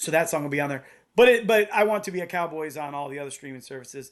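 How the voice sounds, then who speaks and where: A man's high-pitched voice with lively intonation, against a quiet background. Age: 50s. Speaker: punk band guitarist and songwriter. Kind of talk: casual podcast interview. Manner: hesitant, many fillers and restarts.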